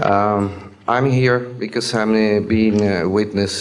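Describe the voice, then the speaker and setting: Someone speaks at a fairly slow pace with a non-native accent and monotone, flat intonation. Music plays in the background, with audible room echo. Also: man. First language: Spanish. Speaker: air traffic controller witness. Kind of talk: testimony. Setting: stage with audience. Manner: halting.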